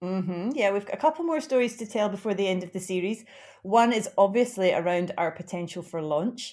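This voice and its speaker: With a Glaswegian accent, a woman speaks at a fairly quick pace and medium pitch, her intonation lively. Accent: Glaswegian Scottish. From Glasgow, Scotland. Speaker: podcast co-host. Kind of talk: casual chat.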